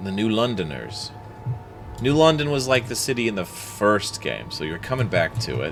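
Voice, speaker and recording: Against background music, a man with a fairly low pitch talks at a fairly slow pace, his pitch swinging very widely. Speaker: gaming streamer. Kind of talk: let's play commentary. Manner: voice rises when stressed.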